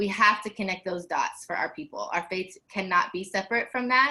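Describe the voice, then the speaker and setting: A woman with a Southern US accent, passionate in tone. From US South. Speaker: faith leader, activist. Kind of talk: panel discussion.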